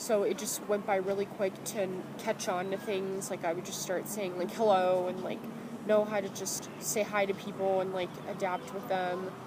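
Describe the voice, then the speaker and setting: Noticeable background noise sits behind a woman speaking at a medium pitch. Her intonation is monotone and flat, at a moderate pace. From France, Rouen area, moved to US at about seven. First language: French. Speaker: student interviewee. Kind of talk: casual interview.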